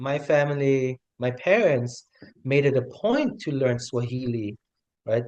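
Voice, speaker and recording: This man speaks at a medium pitch. He has a slight German accent. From Germany (West Berlin), also raised in Tanzania. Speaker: hospitality worker, new citizen. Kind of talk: interview testimony.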